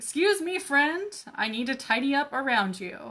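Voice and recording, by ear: A woman speaks in a put-on character voice at a high pitch. Her pace is moderate.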